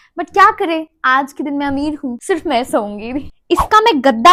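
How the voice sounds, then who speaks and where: A woman's animated, high-pitched voice with lively intonation. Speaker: lifestyle vlogger. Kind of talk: casual vlog.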